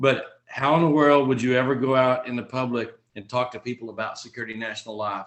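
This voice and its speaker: A man talks at a fairly quick pace. He has a Texan accent. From Texas. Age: 40s. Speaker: insurance agent trainer. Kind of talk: online training session.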